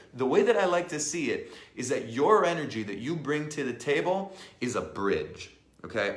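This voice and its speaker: A speaker at a moderate pace with an animated tone and very wide pitch swings, heard with audible room echo. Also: man. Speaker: life and business coach. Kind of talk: live online training. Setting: live stream.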